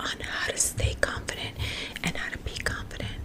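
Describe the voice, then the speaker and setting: Whispering comes through with noticeable background noise behind it. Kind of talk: ASMR close-up whispered self-help talk. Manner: whispered.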